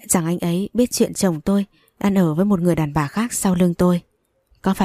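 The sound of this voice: The speaker uses an unforced reading voice with fairly even intonation. The background is quiet.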